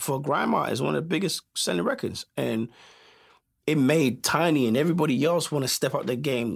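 Recorded very cleanly against a silent background, a man speaks fairly quickly at a fairly high pitch, with lively intonation and vocal fry. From South London, England. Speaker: music producer. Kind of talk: casual interview.

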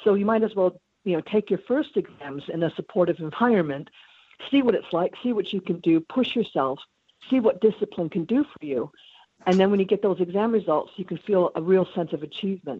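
Speaking at a fairly quick pace, a woman with a medium-pitched, unremarkable speaking voice uses lively intonation. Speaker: astrologer. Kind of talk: interview. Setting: phone call.

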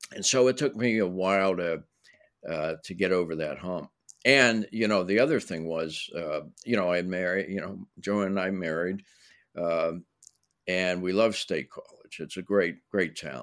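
A man with an American accent and a very deep, low pitch shows ordinary pitch variation on a very clean recording with a silent background. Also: moderate pace. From Pittsburgh, Pennsylvania, US. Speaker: screenwriter and playwright. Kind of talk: interview.

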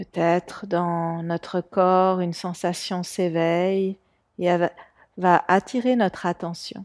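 A woman with a fairly low pitch speaks in a calm tone at a very slow pace with monotone, flat intonation, in a very clean recording with a silent background and a dry, close sound with no echo. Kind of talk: guided meditation. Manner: slow, calm, soft-spoken, with long pauses.

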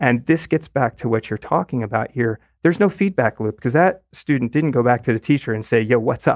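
In a normal speaking voice, a man at a medium pitch speaks at a fairly quick pace with lively intonation and hardly any pauses, the sound dry and close with no echo on a very clean recording with a silent background. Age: 50s. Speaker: math educator and author. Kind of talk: interview.

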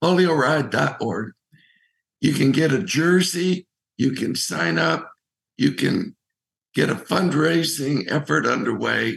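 A man with a fairly high pitch and vocal fry, very wide pitch swings, a very slow pace and long, frequent pauses. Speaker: Rotarian and recreational cyclist. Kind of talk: casual interview.

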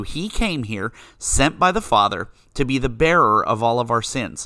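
Speaking with an American accent at a moderate pace, a man uses a bright, sharp tone, medium pitch and very wide pitch swings on a very clean recording with a silent background. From western Pennsylvania, US. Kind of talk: faith-based monologue.

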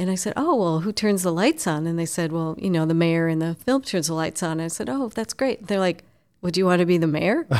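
Using a normal speaking voice, a woman speaks at a fairly quick pace with a fairly low pitch and ordinary pitch variation on a very clean recording with a silent background. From Minnesota, Twin Cities lake area. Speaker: chamber of commerce president. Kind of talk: interview conversation. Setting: office.

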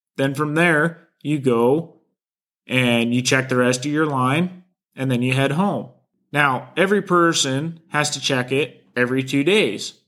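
A man speaks with a Pacific Northwest accent. His pitch sits fairly high. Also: ordinary pitch variation, fairly slow pace. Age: 20s. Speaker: trapper and podcast host. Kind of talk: solo podcast talk.

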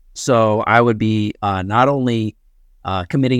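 With an American accent, a man speaks in a normal speaking voice at a moderate pace and fairly even intonation, the sound dry and close with no echo over a quiet background. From Connecticut. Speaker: comedian and podcast host. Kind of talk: casual chat.

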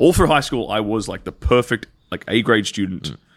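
A man talks at a medium pitch with vocal fry. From rural Western Australia. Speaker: former adult film performer. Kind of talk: casual interview chat. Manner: clear enunciation.

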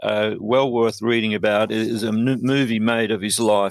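A man's medium-pitched voice in an Australian accent, monotone and flat, at a moderate pace. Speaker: poet. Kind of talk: interview.

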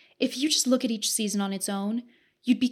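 In a Western Canadian accent, a woman speaks with a fairly high, somewhat breathy voice and fairly even intonation on a very clean recording with a silent background. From Southern Alberta, Canada. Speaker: podcast host. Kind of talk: scripted narration.

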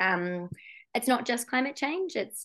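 In a New Zealand accent, a woman talks at a moderate pace. The background is quiet. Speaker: geologist and climate risk consultant. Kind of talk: interview.

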